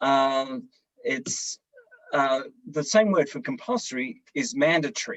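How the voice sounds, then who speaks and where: A man with an Australian accent and a fairly high voice speaks at a fairly slow pace, his pitch swinging very widely between long, frequent pauses. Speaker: service club leader. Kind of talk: panel discussion. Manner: hesitant, many fillers.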